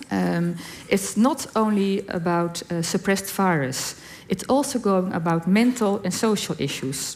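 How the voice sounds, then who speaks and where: A woman with a Dutch accent, medium in pitch, at a fairly slow pace. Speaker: HIV community representative on panel. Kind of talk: reading prepared answer aloud.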